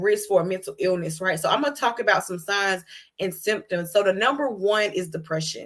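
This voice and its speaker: In a Georgia accent, a woman talks at a fairly quick pace. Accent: Southern American (Georgia). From US South, Georgia. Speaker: HIV advocate and nonprofit host. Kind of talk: educational talk on live show. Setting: livestream. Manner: fast; casual, conversational.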